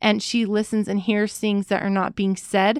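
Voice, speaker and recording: A woman's fairly high voice, dry and close with no echo, in a very clean recording against a silent background. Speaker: doula and educator, podcast co-host. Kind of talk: casual chat, anniversary episode. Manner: fast talker when excited.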